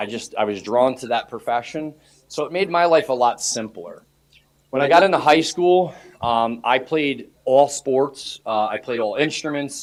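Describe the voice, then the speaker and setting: Speaking with a New York accent, a man with a fairly high pitch shows ordinary pitch variation. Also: moderate pace. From New York, Hudson Valley near Poughkeepsie. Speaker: police chief. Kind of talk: self-introduction to student government. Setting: student association meeting. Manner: casual, conversational.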